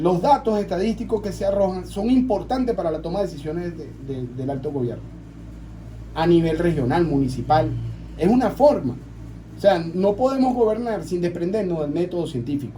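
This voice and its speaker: Very wide pitch swings with audible room echo. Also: man, high pitch for a man, moderate pace. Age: 40s. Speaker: local councillor. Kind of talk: radio interview.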